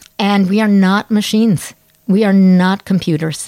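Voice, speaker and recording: The voice carries an American accent. It moves at a moderate pace. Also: woman. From United States. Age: 60s. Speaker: anthropologist and psychologist. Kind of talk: interview conversation. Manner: animated.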